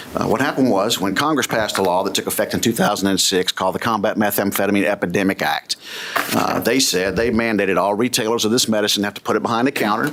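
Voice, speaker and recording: A man with a Kentucky accent talks at a very fast pace, his fairly low voice showing ordinary pitch variation. Noticeable background noise runs underneath. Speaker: business executive and former police officer. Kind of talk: legislative testimony. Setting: committee hearing room. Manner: hesitant, with frequent fillers.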